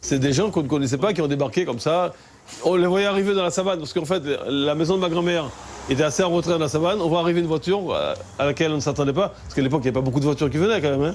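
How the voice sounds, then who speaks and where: A man's fairly high-pitched voice at a very fast pace, with noticeable background noise. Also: ordinary pitch variation. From French Guiana, Kourou. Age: 60s. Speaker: local resident interviewed. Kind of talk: interview testimony. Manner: halting with repetitions.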